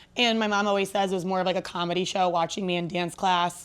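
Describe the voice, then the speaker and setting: This woman talks at a very fast pace with an energetic tone. Her voice sits at a medium pitch. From Ohio, Akron area (US Midwest). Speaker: sports stadium host and emcee. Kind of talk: podcast interview.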